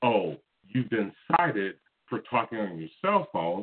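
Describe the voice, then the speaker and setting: A man at medium pitch and moderate pace, with lively intonation. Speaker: call-in show caller. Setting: phone.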